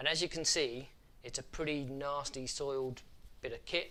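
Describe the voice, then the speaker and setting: Talking at a fairly quick pace, a man with a British accent has a fairly high pitch, a bright, sharp tone and ordinary pitch variation. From UK. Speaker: photography youtuber. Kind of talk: tutorial. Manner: casual, animated.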